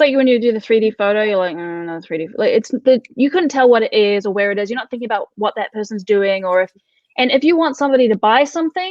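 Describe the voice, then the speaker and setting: A woman with a New Zealand accent talks very fast, her fairly high voice full of lively intonation. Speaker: content marketing expert. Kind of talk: interview. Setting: live video talk show.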